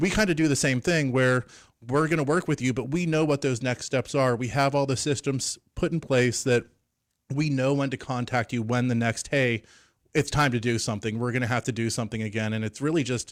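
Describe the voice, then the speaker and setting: Medium-pitched with ordinary pitch variation, a man talks at a fairly quick pace in a plain, everyday voice. The recording is very clean, with a silent background. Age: 40s. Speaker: financial advisor. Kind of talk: radio interview. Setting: studio.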